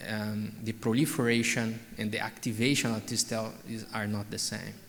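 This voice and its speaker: Over noticeable background noise and audible room echo, a man speaks at a moderate pace in a medium pitch. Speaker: oncologist. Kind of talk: conference Q&A.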